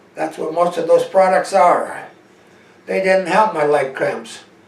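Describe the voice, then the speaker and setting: A man with a high pitch talks amid noticeable background noise, his pitch varying in an ordinary way. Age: 70s. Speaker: network marketing salesman. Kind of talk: sales pitch.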